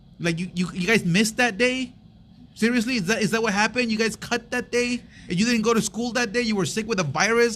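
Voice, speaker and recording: Speaking at a very fast pace, a man has a high pitch and a bright, sharp tone. His pitch variation is ordinary. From US, Mexican-American. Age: 30s. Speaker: podcast co-host. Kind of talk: casual chat. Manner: animated.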